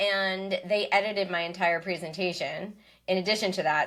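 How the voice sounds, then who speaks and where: In a plain, everyday voice, a woman with an American accent speaks at a moderate pace and medium pitch, her intonation fairly even, on a very clean recording with a silent background. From New York City. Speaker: event planner and business coach. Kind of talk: podcast interview.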